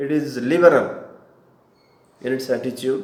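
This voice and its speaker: A man with an Indian accent speaks at a fairly slow pace. There is audible room echo. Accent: Indian English (Odia). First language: Odia. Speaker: spiritual teacher. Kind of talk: lecture. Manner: halting.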